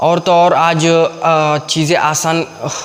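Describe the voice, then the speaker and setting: A man's fairly high-pitched voice with a Kannada accent and monotone, flat intonation, over noticeable background noise. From Karnataka, India. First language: Kannada (speaking Hindi). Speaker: YouTube English teacher. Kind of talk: tutorial. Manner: halting, many fillers.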